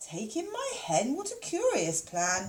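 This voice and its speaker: A woman uses a put-on character voice. She speaks at a fairly slow pace. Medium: read story.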